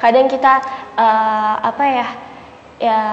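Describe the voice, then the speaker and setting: Noticeable background noise sits behind a woman speaking in a high pitch. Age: 20s. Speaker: interviewee. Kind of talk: casual interview. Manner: halting.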